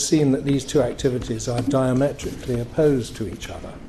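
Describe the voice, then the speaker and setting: There is audible room echo around this man's voice. His pitch is fairly high. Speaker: financier, event speaker. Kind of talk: after-dinner speech. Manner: hesitant, with fillers.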